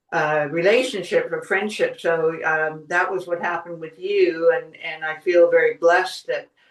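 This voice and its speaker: With an American accent, a woman uses an ordinary speaking voice at a fairly low pitch. She talks at a fairly slow pace with fairly even intonation. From US Northeast, Boston suburbs. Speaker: podcast host and wellness writer. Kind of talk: interview conversation.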